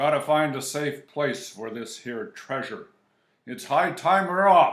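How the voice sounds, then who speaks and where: A man performs a loud put-on character voice at a fairly high pitch. He delivers it at a fairly slow pace. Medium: read story. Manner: loud, blustering.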